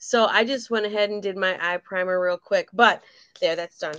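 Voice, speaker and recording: In a normal speaking voice, a woman talks fairly quickly at a medium pitch with ordinary pitch variation against a quiet background. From Michigan. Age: 50s. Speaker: beauty consultant, makeup tutorial co-host. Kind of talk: makeup tutorial livestream, casual. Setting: video livestream, remote. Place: home room.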